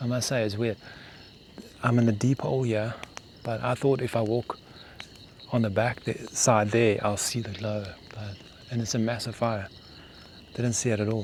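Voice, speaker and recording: A soft-spoken man at a medium pitch talks in a monotone, flat intonation with long, frequent pauses. Noticeable background noise sits under his voice. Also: moderate pace. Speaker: bushcraft vlogger. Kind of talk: solo outdoor vlog narration. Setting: outdoors at night in the bush.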